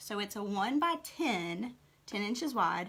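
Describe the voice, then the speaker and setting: A woman speaks at a medium pitch and a fairly slow pace. Her tone is bright and sharp. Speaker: craft tutorial host. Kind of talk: tutorial.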